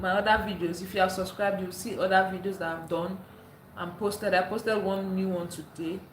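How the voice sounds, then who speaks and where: An animated tone comes through at a fairly quick pace, with noticeable background noise and audible room echo. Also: woman. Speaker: live streamer. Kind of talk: casual live stream chat.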